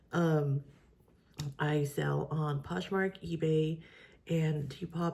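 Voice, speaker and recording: A woman with a very deep, low voice speaks in a dark, mellow tone that is somewhat breathy. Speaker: part-time reseller and video creator. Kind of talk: casual vlog. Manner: hesitant, many fillers.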